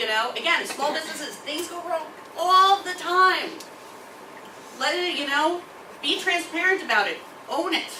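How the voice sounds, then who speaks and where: With long, frequent pauses, a woman raises and projects her extremely high voice amid noticeable background noise and audible room echo. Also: ordinary pitch variation, moderate pace. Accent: American. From New York City, Brooklyn. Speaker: bakery owner. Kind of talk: guest talk to a college class. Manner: casual, blunt.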